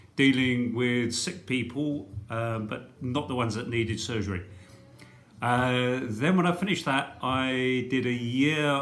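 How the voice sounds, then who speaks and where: A man with an English accent speaks at a fairly slow pace in a medium pitch. His pitch variation is ordinary, and audible room echo is present. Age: 60s. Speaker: retired doctor. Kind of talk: talk to school pupils about career. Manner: hesitant, many fillers.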